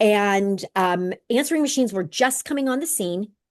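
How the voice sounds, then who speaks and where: A woman speaks in an animated tone with lively intonation. The background is quiet. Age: 60s. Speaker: direct sales consultant. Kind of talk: video call talk.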